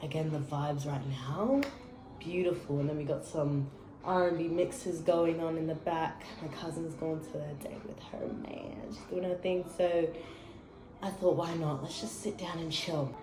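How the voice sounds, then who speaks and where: A woman with an Australian accent speaks in a fairly low voice. Audible echo from the room is present. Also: ordinary pitch variation, moderate pace. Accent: Australian, prominent. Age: 20s. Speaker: vlogger. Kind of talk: casual chat. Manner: animated.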